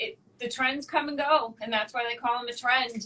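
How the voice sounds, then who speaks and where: Speaking at a moderate pace, a woman with a Boston accent uses a high pitch. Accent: thick Boston. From Boston, Massachusetts. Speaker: wax educator and esthetician. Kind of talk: casual interview chat.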